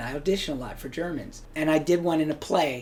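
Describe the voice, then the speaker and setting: With an American accent and an ordinary speaking voice, a man speaks at a moderate pace in a fairly high pitch. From Hawaii. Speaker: actor. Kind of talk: interview.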